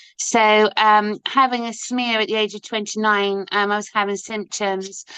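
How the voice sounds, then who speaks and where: A woman with a West Country accent has a bright, sharp tone and a medium pitch, recorded dry and close with no echo against a quiet background. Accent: Dorset. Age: 50s. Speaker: ostomy advocate and busker. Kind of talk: interview. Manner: halting, many fillers.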